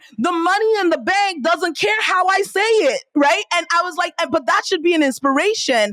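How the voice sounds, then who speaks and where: A woman with a slight Nigerian accent speaks in an animated tone at a moderate pace, in a dry, close sound with no echo. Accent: Nigerian, slight, comes out on some words. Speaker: entrepreneur and business coach. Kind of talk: podcast interview.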